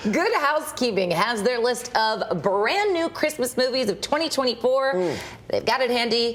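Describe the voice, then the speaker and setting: A woman speaks at a high pitch with lively intonation and very even loudness, at a moderate pace. Noticeable background noise sits behind her. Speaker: TV news anchor. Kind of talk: local TV newscast anchor read.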